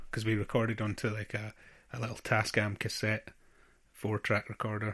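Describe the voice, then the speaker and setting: A man's fairly low voice with a bright, sharp tone and a Scottish accent. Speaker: drummer and charity founder. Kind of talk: interview answers. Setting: video call. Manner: halting.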